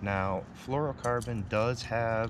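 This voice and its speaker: With ordinary pitch variation, a man's dry voice with no echo comes through noticeable background noise. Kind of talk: tutorial. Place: boat. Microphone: phone near.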